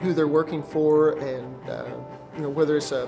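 Light background noise accompanies a man speaking. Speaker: automotive technology instructor. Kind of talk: interview answer. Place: studio.

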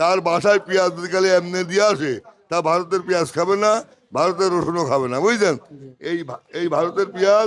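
The man speaks at a high pitch with ordinary pitch variation and very even loudness. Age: 60s. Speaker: onion wholesale trader. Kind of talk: interview at a market. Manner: animated.

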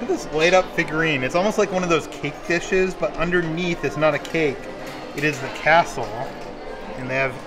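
Someone speaks at a fairly quick pace with clear music in the background. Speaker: vlogger filming merchandise. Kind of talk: casual vlog chat. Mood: delighted, enthusiastic. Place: shop. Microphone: phone near.

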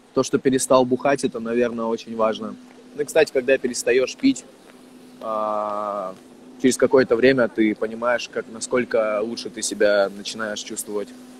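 A man speaks at a moderate pace in a monotone, flat intonation. The sound is dry with no echo, and light background noise is present. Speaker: rapper. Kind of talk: casual livestream chat with viewers. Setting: livestream video call. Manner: loose, slangy, heavy swearing. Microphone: earbuds.

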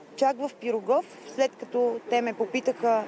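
Over light background noise, a high-pitched woman speaks at a moderate pace. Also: dry sound with no echo. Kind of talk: interview answer. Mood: upset, indignant. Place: street.

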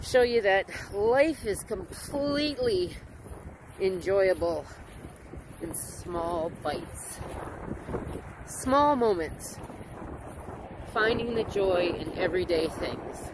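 Very slow speech with long, frequent pauses, noticeable background noise, and a dry sound with no echo. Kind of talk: casual vlog chat. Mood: warm, reflective, amused. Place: open country. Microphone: phone near.

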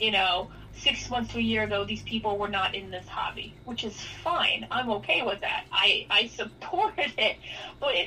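Over noticeable background noise, a woman with a New York accent and a fairly high pitch speaks at a moderate pace. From New York City, the Bronx. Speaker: sports card industry veteran and former sports writer. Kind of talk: casual interview chat.

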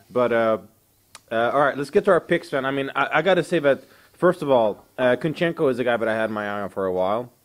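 Against a quiet background, a man speaks at a medium pitch. His pace is very fast. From southern Sweden. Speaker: MMA show host. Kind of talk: casual chat. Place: home room. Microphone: handheld.

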